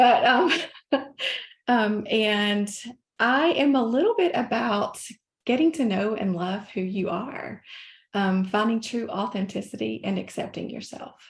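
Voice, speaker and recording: A woman with a Southern US accent speaks at a fairly high pitch, with vocal fry and ordinary pitch variation. She leaves long, frequent pauses. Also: fairly slow pace. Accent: Southern US (Georgia). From US South (North Georgia). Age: 50s. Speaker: life coach. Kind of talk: podcast interview.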